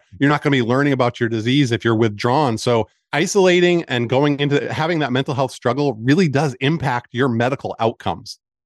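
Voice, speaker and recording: A man's ordinary speaking voice at medium pitch, fairly quick, with ordinary pitch variation, dry and close with no echo against a quiet background. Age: 40s. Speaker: cancer support community founder. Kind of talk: interview.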